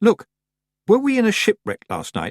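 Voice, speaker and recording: A man does a put-on character voice at an extremely high pitch. The pace is moderate. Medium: read story.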